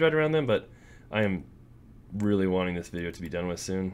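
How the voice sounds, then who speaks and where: The man's intonation is lively. He speaks very fast. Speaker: gaming YouTuber. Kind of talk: casual gameplay commentary. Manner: rambling, self-deprecating. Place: home room.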